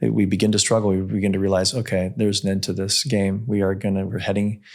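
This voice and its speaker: A man speaks at a very fast pace in a fairly low pitch, with fairly even intonation and very even loudness. The recording is very clean, with a silent background. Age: 60s. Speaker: longevity medicine practitioner and podcast host. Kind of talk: interview conversation.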